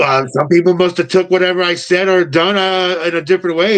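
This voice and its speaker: A man with an American accent speaks at a fairly quick pace in a high pitch with fairly even intonation, over noticeable background noise. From New York. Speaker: pro wrestler. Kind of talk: casual chat. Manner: a little aggressive way of talking; hesitant, many fillers.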